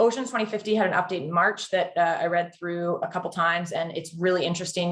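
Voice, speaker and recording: Somewhat breathy, a woman speaks very fast at a fairly low pitch with fairly even intonation. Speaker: carbon credit program specialist. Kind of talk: webinar presentation.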